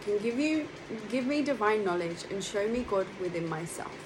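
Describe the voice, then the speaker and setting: A woman with a fairly high pitch and lively intonation at a moderate pace, with audible room echo and noticeable background noise. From London, England. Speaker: monastic spiritual speaker. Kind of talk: spiritual talk. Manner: hesitant with fillers.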